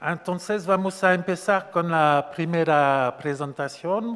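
A man speaks at a very slow pace with a strong French accent. His pitch sits fairly high. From France. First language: French (speaking Spanish). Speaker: event organizer and moderator; event moderator. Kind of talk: event moderation; moderator introduction of speakers. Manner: halting. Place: hall. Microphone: podium.

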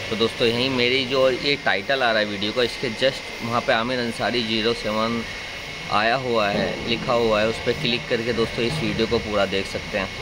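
Loud background noise surrounds the recording. A man speaks over it at a fairly slow pace. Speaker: food vlogger. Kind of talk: casual vlog chat. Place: cafe. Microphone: phone near.

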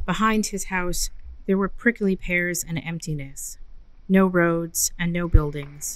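An unremarkable speaking voice from a woman, fairly low in pitch, at a fairly slow pace with fairly even intonation, on a very clean recording with a silent background. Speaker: library reader of ghost stories. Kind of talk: audio story reading / narration.

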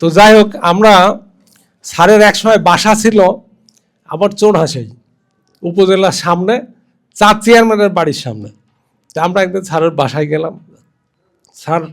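High pitch from a man, with ordinary pitch variation. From Bangladesh, Kushtia. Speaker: businessman, former student. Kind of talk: memorial speech.

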